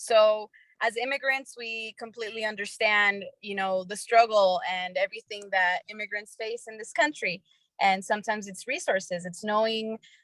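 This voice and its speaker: In an ordinary speaking voice, a woman of medium pitch talks at a moderate pace with ordinary pitch variation. The sound is dry and close, with no echo. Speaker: startup co-founder, former TV reporter. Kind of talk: panel discussion.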